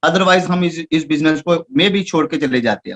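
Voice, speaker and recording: With a Punjabi accent, a man speaks in a high voice with ordinary pitch variation, the sound dry and close with no echo. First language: Punjabi (speaking Hindi). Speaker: network marketing distributor. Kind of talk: achievement speech. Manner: halting.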